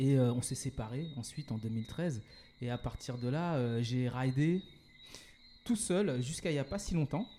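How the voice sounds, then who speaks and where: A man's medium-pitched voice with a dark, mellow tone, ordinary pitch variation, a fairly slow pace and long, frequent pauses. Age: 40s. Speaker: entrepreneur. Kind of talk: interview. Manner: hesitant, many fillers and repetitions.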